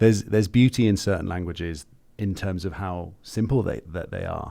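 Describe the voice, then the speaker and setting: A man with a very deep, low pitch and a dark, mellow tone, fairly quick, ordinary pitch variation and big swings in loudness, in a very clean recording with a silent background. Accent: English. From England. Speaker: podcast co-host. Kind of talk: casual chat.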